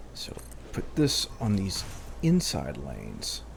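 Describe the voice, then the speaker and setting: A man's voice with vocal fry and audible room echo. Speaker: gaming video creator. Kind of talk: let's play commentary. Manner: casual thinking aloud.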